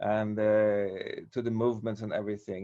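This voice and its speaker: A man talks at a moderate pace. He speaks with a Swedish accent. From Sweden. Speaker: martial arts teacher. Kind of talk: casual chat. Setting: video call. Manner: halting.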